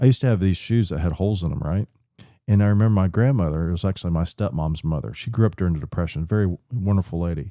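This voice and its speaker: With an American accent, a man talks at a very fast pace, his very deep, low pitch and dark, mellow tone showing ordinary pitch variation. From Florida, Polk County (Lakeland). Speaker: business founder. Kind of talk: casual interview chat. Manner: halting, many fillers.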